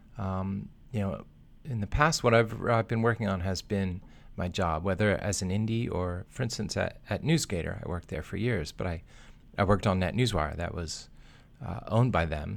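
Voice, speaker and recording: A man talks in an ordinary speaking voice with a fairly low pitch. His pace is moderate and his pitch varies in an ordinary way. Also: very clean recording, silent background. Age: 40s. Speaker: software developer. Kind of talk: casual chat.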